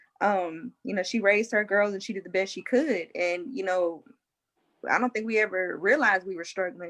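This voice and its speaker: A woman speaks at a moderate pace with ordinary pitch variation, her pitch medium for a woman. It is a plain, everyday voice on a very clean recording with a silent background. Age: 30s. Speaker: military service member and panel guest. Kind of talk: casual panel discussion.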